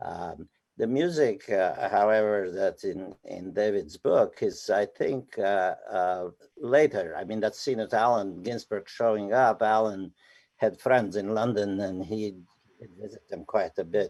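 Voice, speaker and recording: Against a quiet background, a man with a Romanian accent talks at a fairly slow pace. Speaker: poet and novelist. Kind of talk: live interview. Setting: live event.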